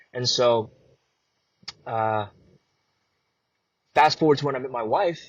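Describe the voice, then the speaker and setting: A somewhat breathy man talks at a fairly quick pace. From US Midwest, Chicago (born in Vietnam, moved at 3). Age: 20s. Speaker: actor and content creator. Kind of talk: podcast interview.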